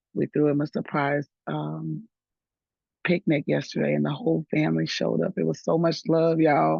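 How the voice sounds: Pitch barely moves, and the tone is slightly mellow with vocal fry and a slightly husky edge. The pace is moderate, and the sound is dry and close with no echo. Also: woman.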